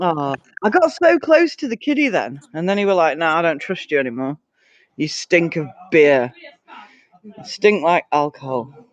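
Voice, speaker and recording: The speaker has a Yorkshire accent and a moderate pace. Long, frequent pauses break up the speech. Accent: broad Yorkshire. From Yorkshire, England. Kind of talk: casual, conversational.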